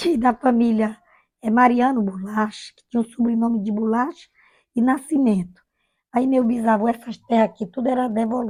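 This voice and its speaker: A dark, mellow tone comes at a moderate pace. The intonation stays fairly even. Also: woman, fairly high pitch for a woman. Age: 60s. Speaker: retired village schoolteacher. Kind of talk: oral history interview. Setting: at home.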